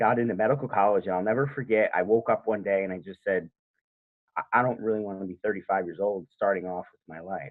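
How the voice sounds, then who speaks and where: In an ordinary speaking voice, a man talks at a fairly quick pace, his fairly low pitch showing ordinary variation. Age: 30s. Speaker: home inspector. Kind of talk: interview. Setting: podcast interview.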